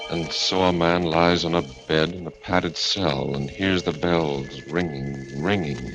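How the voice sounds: A man's put-on character voice, extremely low in pitch with a fairly bright tone, fairly slow in pace and fairly even in intonation, amid strong room echo and faint music in the background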